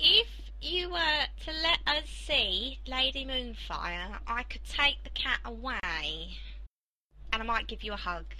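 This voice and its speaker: In a put-on character voice, a woman talks at a fairly slow pace, with long, frequent pauses. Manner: coaxing, sweet, persuasive.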